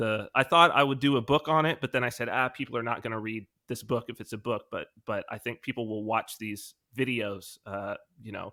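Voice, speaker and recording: A man with an American accent talks at a fairly quick pace in a medium pitch, his tone bright and sharp and his intonation fairly even. The sound is dry and close with no echo, on a very clean recording with a silent background. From California. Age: 40s. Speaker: author and video creator. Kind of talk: interview. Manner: conversational with frequent fillers.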